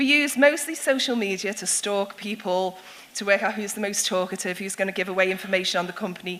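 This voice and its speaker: With noticeable background noise behind her, a woman with a Liverpool accent speaks at a fairly quick pace in a medium pitch with ordinary pitch variation. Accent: Scouse (Liverpool). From Liverpool, England. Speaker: security consultant and speaker. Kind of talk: public talk. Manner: animated.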